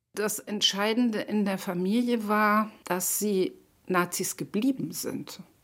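Ordinary pitch variation marks a woman's speech at a very slow pace. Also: medium pitch for a woman, very clean recording, silent background. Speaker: political activist. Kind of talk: interview testimony.

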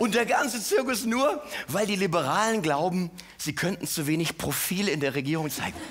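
A man with a high pitch speaks at a moderate pace, his pitch swinging very widely. Noticeable background noise and audible room echo are present. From Mainz, Rhineland-Palatinate. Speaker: cabaret artist. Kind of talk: stand-up.

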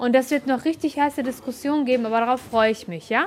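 Talking very fast, a woman uses a high pitch. Her pitch varies in an ordinary way. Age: 40s. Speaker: trainee schoolteacher. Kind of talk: classroom teaching.

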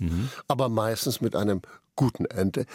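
Fairly low and somewhat breathy, a man's voice moves at a moderate pace with ordinary pitch variation in a dry, close sound with no echo. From Saxony, Dresden. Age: 60s. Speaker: actor. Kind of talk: radio interview.

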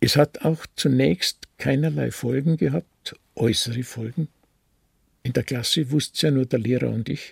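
Somewhat breathy, a man talks at a moderate pace and medium pitch with ordinary pitch variation, the sound dry and close with no echo. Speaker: retired pastor and Nazi-era persecution witness. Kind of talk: testimony interview.

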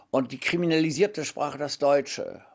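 There is a quiet background behind the man speaking. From Hamburg area, Germany. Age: 90s. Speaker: writer and translator. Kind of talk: interview.

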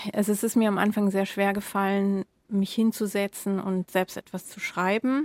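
An unremarkable speaking voice from a woman at medium pitch, with fairly even intonation. She keeps a moderate pace, and the sound is dry and close with no echo. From Germany. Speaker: editor-in-chief. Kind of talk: casual chat. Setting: remote connection.

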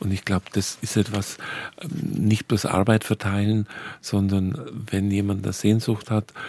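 A man's fairly low, dark, mellow voice at a fairly slow pace, on a very clean recording with a silent background. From Bavarian Swabia. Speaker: archabbot and pastor. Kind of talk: radio conversation.

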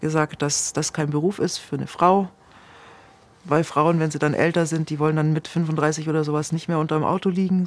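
At a moderate pace, a woman speaks in a very deep, low pitch with monotone, flat intonation and long, frequent pauses. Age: 50s. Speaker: former cult member. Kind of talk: interview testimony.

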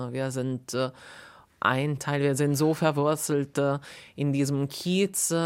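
On a very clean recording with a silent background, a woman with a very deep, low pitch speaks at a very slow pace with fairly even intonation. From Italy (Perugia). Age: 40s. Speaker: cinema manager. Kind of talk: interview narration.

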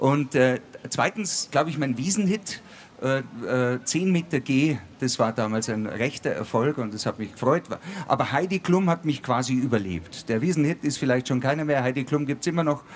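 An ordinary speaking voice with lively intonation moves along at a moderate pace. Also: man, fairly high pitch for a man. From Bavaria, Ingolstadt. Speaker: comedian and musician. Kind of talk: live stage talk. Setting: outdoor stage with live audience.

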